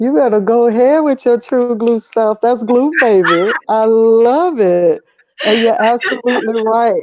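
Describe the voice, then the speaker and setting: Slowly and with very even loudness, a woman with an American accent speaks at a fairly high pitch with ordinary pitch variation. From US South, Atlanta, Georgia. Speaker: Air Force veteran and activist. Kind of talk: interview. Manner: energetic.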